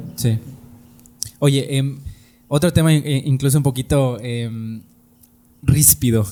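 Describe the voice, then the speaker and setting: A man's medium-pitched voice, very slow, with ordinary pitch variation and long, frequent pauses. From Tizimín, Yucatán, Mexico. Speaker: podcast host. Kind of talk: interview conversation.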